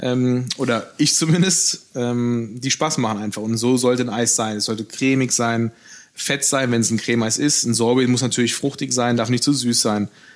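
A man talks at a moderate pace in a medium pitch, his intonation fairly even, with noticeable background noise behind him. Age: 30s. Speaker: pastry chef. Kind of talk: interview conversation. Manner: hesitant fillers.

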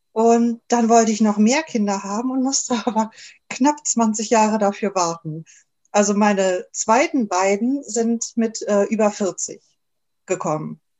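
An unremarkable speaking voice from a woman, fairly high in pitch with ordinary variation, at a fairly slow pace. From Germany. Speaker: naturopath and podcaster. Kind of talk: interview.

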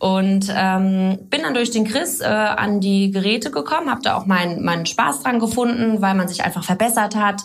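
Over noticeable background noise, a woman at a medium pitch speaks at a moderate pace with ordinary pitch variation and very even loudness. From Germany, Baden near Karlsruhe, then Middle Rhine (Boppard). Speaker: fitness trainer and physiotherapist. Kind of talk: podcast interview. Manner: many filler sounds.

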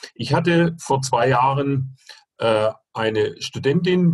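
A somewhat breathy voice moves with ordinary pitch variation. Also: man. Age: 60s. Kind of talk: interview.

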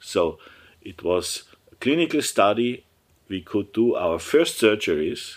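In a German accent, a man speaks at a fairly slow pace and a medium pitch, his pitch swinging very widely. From Germany, Upper Bavaria. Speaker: surgeon, professor and entrepreneur. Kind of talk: interview. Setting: office. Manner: halting.

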